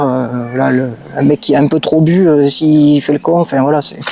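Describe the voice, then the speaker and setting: A man speaks with a southwestern French accent at a fairly high pitch, with fairly even intonation, in a dry, close recording with no echo and noticeable background noise. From southwest France, Gers. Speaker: car enthusiast. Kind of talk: casual interview. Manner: hesitant, many fillers.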